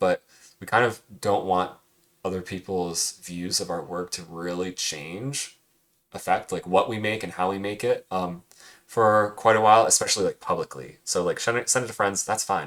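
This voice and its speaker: Ordinary pitch variation comes through on a very clean recording with a silent background. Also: man, fairly low pitch for a man, moderate pace. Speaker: cartooning teacher. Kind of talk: recorded lesson recap. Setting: screen recording with webcam. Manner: soft-spoken.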